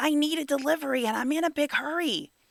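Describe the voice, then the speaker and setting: A put-on character voice, high-pitched and at a very fast pace. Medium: read story.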